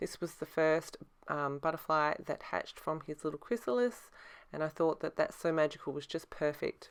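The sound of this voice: A woman speaks at a moderate pace in a low pitch with lively intonation. Her tone is clear and smooth, with vocal fry.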